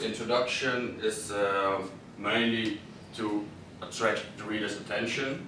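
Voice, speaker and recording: Over noticeable background noise and audible room echo, a man speaks at a fairly slow pace in a monotone, flat intonation. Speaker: student presenter. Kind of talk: class presentation. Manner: halting.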